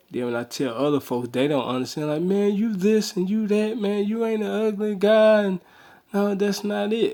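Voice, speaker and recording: Fairly slow in pace, the voice carries a dark, mellow tone. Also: man. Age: 30s. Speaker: vlogger. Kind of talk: video response monologue. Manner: casual, repetitive.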